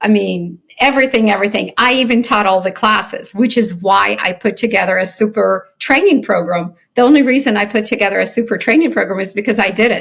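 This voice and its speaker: Ordinary pitch variation marks a plain, everyday voice moving at a moderate pace. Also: woman. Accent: American. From Soviet Ukraine, then US childhood. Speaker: company founder and CEO. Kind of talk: interview.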